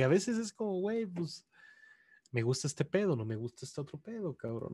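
At a fairly quick pace, a man speaks in a somewhat breathy voice with very wide pitch swings. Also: dry, close sound with no echo, very clean recording, silent background. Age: 30s. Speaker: video game journalist. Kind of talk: casual chat.

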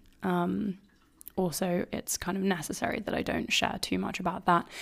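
A woman's fairly low voice with vocal fry, ordinary pitch variation and a moderate pace. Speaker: wellness podcast host and coach. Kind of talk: solo podcast monologue, personal and intimate. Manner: warm, gentle, soothing.

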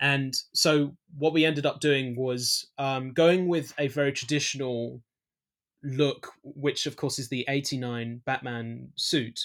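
A man with a London accent speaks very slowly at a fairly high pitch and fairly even intonation on a very clean recording with a silent background. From East London, England. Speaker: filmmaker. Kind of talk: interview. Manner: halting, many fillers and restarts.

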